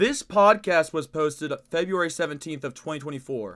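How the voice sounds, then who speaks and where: A man talks at a moderate pace with lively intonation, captured on a very clean recording with a silent background. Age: 20s. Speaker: gaming streamer. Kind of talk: live stream chat. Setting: live stream. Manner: stutter; animated. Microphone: echo.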